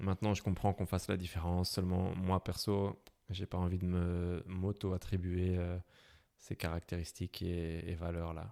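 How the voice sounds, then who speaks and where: Very clean, with a silent background and a dry, close sound with no echo, the recording captures a man with a slight Belgian accent, a very deep, low pitch, a dark, mellow tone and monotone, flat intonation at a moderate pace. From Belgium, Brussels. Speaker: motorcycle traveler. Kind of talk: interview. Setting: podcast. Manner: hesitant, many fillers.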